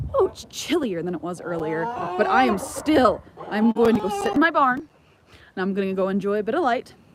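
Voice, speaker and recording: A woman with an American accent speaks at a fairly high pitch with very wide pitch swings. Noticeable background noise runs under her voice. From Southern California. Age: 20s. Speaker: homesteader and livestreamer. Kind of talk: casual livestream chat. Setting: outdoors by the barn. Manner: halting, many fillers.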